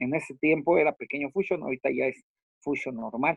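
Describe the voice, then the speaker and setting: A man speaks at a fairly high pitch, with vocal fry in his voice. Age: 40s. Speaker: professional wrestler. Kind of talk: interview.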